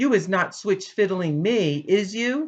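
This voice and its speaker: In a booming, put-on character voice at a middle pitch, the speaker talks at a fairly slow pace. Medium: read story.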